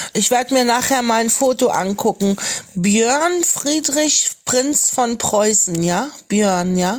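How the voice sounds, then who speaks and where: A woman talks very slowly in a fairly high voice with lively intonation. Background noise is noticeable. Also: very even loudness. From Lower Saxony, Germany. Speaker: livestream participant. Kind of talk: casual chat.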